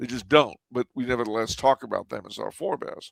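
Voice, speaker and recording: On a very clean recording with a silent background, a man speaks in an American accent. His pace is fairly quick, and there is vocal fry in his voice. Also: dry, close sound with no echo. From California. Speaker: historian. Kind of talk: interview. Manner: halting.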